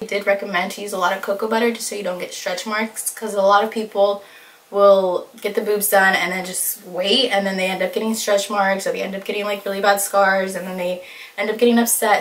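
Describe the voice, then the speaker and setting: Noticeable background noise behind a woman's medium-pitched voice, fairly quick in pace and fairly even in intonation. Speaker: beauty and lifestyle vlogger. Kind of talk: casual vlog. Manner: fast; casual, lots of fillers.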